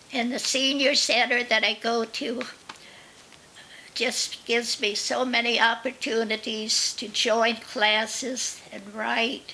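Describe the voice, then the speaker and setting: A woman speaks very slowly in a fairly high pitch with monotone, flat intonation. Noticeable background noise runs underneath. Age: 90s. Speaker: senior storyteller. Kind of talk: reading aloud; casual interview talk. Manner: halting.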